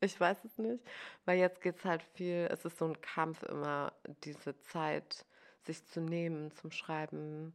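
A woman speaks at a very slow pace. Her pitch is fairly low, and her intonation is fairly even. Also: very clean recording, silent background. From Germany, village. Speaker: novelist and journalist. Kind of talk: casual chat.

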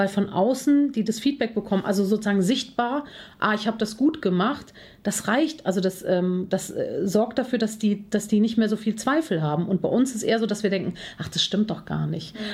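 Over a silent background in a very clean recording, a woman talks fairly quickly in a somewhat breathy voice, fairly high in pitch with ordinary pitch variation. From Germany, Cologne. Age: 40s. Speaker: confidence coach and speaker. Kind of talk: podcast interview.

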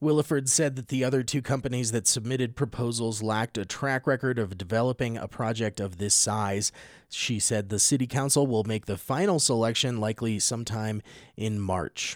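With a dry, close sound and no echo, a man speaks in a plain, everyday voice at a fairly quick pace, medium in pitch with ordinary pitch variation. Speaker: radio newscaster. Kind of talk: news reading, scripted local radio newscast. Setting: radio studio. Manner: formal, steady, even-paced newsreader delivery.

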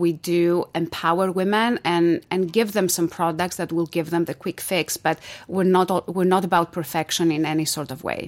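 A woman with a Greek accent and a fairly low pitch speaks at a moderate pace. Her intonation is monotone and flat in a very clean recording with a silent background. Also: hardly any pauses. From Greece. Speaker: entrepreneur. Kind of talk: interview.

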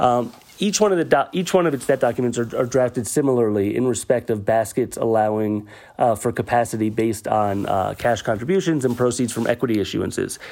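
Fairly quick pace, ordinary pitch variation and medium pitch from a man with an ordinary speaking voice. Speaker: debt covenants analyst. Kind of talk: explanatory segment. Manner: frequent fillers (um, uh).

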